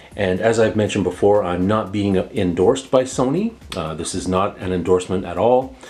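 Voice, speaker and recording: The speech moves at a fairly quick pace with ordinary pitch variation, and noticeable background noise runs underneath. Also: man, very deep, low pitch for a man. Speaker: tech product reviewer. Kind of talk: tutorial. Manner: casual with filler words.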